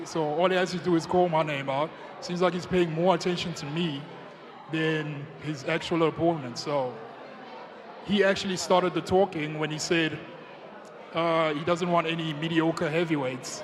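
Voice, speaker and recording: Pausing long and often, a man with a high pitch talks at a moderate pace with fairly even intonation over noticeable background noise. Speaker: heavyweight MMA fighter. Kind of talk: press conference answers.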